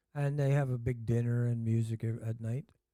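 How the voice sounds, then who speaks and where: A man with a Canadian accent at medium pitch and moderate pace, dark and mellow in tone, with fairly even intonation, on a very clean recording with a silent background. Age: 70s. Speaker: ski instructor. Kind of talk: casual chat. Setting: on location at a ski area. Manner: halting, many filler words.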